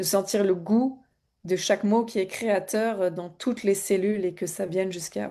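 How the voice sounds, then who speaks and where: Against a quiet background, a woman with a medium pitch speaks at a fairly slow pace in a dark, mellow tone with fairly even intonation. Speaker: spiritual coach. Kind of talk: live stream promotional talk. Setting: live stream on social media. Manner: hesitant, many fillers.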